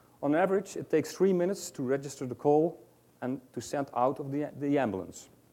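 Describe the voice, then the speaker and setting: A man speaks with a Dutch accent at a fairly quick pace. His tone is dark and mellow, fairly high in pitch, with ordinary pitch variation. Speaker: ambulance service researcher. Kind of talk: conference presentation read from script. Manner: halting.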